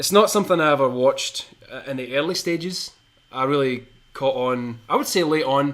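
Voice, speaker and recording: Speaking at a moderate pace, a man with a Scottish accent uses a fairly high pitch and ordinary pitch variation. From Scotland (Shotts, between Glasgow and Edinburgh). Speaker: podcast co-host. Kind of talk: casual chat.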